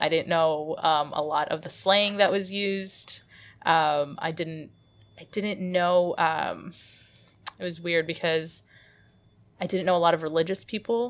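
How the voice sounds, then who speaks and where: A woman with a Midwestern accent speaks at a fairly slow pace in a fairly low pitch, her intonation fairly even and broken by long, frequent pauses. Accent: American Midwest. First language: Arabic. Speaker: comic artist. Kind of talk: interview.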